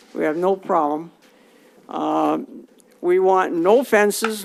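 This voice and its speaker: A woman with an American accent at medium pitch, ordinary pitch variation, over noticeable background noise. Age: 80s+. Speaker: resident speaking at public comment. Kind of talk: public comment at council meeting. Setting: council chamber.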